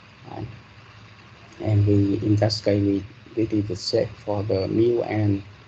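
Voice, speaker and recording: Noticeable background noise fills the clip. The male speaker keeps a fairly slow pace. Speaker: university lecturer. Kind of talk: lecture. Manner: hesitant, many fillers.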